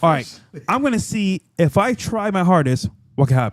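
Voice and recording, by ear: The speaker is male. He talks with a high pitch. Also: dry, close sound with no echo.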